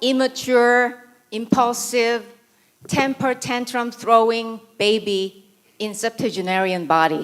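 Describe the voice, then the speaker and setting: A very slow pace in a Korean accent with ordinary pitch variation. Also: woman. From South Korea. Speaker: writer and conference speaker. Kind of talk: conference talk.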